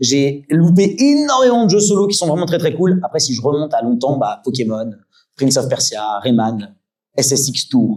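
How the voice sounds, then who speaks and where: A man's fairly high voice, dark and mellow in tone, with lively intonation. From Île-de-France, Yvelines. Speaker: streamer and content creator. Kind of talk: talk with audience Q&A. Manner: fast.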